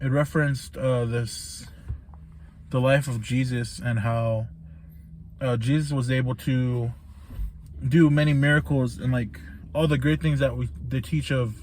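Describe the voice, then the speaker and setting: Somewhat breathy at medium pitch, a man speaks fairly slowly with long, frequent pauses. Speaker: vlogger reviewing a book. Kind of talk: casual book recap monologue. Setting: laundry room, in the dark. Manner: monotone; hesitant, many fillers.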